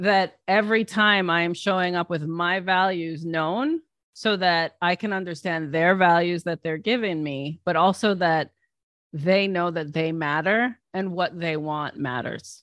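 This is an unremarkable speaking voice with ordinary pitch variation, moving at a fairly slow pace. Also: woman, fairly low pitch for a woman. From United States, Palestinian Lebanese family. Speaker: business coach and author. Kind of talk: interview conversation.

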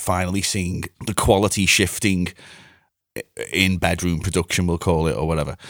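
On a very clean recording with a silent background, a man with a Liverpool accent speaks in a very deep, low pitch, flat and monotone, with long, frequent pauses. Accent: Scouse (Liverpool). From Liverpool area, England (Bootle). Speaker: music producer and mixing engineer. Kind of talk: casual chat.

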